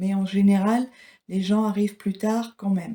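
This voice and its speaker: Her voice is somewhat breathy with a dark, mellow tone as this woman speaks at a moderate pace and medium pitch in a flat, monotone way. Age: 60s. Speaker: retiree, former care home worker. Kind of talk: interview.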